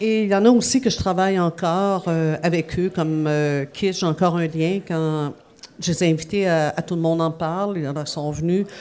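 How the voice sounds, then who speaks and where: Her voice is fairly low for a woman, an ordinary speaking voice at a moderate pace. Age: 50s. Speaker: music journalist. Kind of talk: interview. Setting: café venue.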